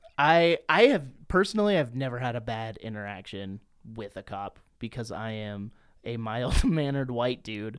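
Here is a man with an ordinary speaking voice, medium in pitch, moving at a moderate pace with ordinary pitch variation and big swings in loudness. The recording is very clean, with a silent background. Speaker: wrestling podcaster. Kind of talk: casual chat.

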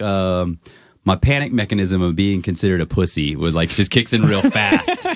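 A man talks in a normal speaking voice with an American accent. His pitch is fairly low, his pace moderate and his pitch variation ordinary. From Maryland, US. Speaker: rapper. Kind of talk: casual chat.

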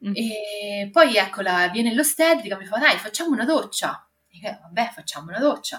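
With music in the background, a woman in a slight Marche accent speaks at a moderate pace in a fairly high pitch, her loudness swinging widely. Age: 30s. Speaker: mother and office worker. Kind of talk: testimony.

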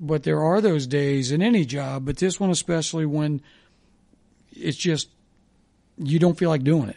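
A man's dark, mellow voice at a fairly high pitch with ordinary pitch variation, a moderate pace, and long, frequent pauses. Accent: Midwestern American. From US Midwest (Dayton, Ohio). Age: 60s. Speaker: former sports radio host. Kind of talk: casual chat.

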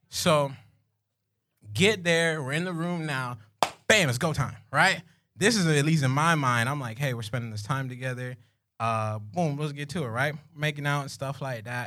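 At a moderate pace, a man with a South Florida accent speaks with a fairly high pitch and ordinary pitch variation. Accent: South Florida urban American. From South Florida (Pompano Beach). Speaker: comedic storyteller. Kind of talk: storytelling to live audience. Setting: stage with audience. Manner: animated.

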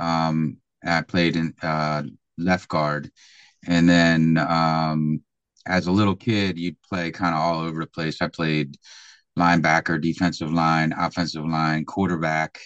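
In a dry, close recording with a quiet background and no echo, a man with a Philadelphia accent speaks at a fairly slow pace in a very deep, low, monotone, flat voice. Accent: Philadelphia American. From Philadelphia, US. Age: 50s. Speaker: American football coach. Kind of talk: podcast interview. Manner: hesitant, many fillers.

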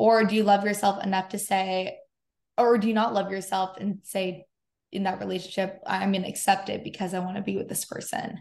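Against a quiet background, a woman with an American accent talks at a fairly quick pace in an unremarkable speaking voice, her pitch medium. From US West Coast, San Diego. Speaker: podcast host. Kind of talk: casual chat.

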